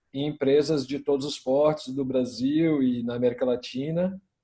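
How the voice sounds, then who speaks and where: Speaking with a Minas Gerais accent, a man has a dark, mellow tone at a fairly high pitch. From Brazil, Minas Gerais. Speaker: innovation consultant. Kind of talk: panel discussion.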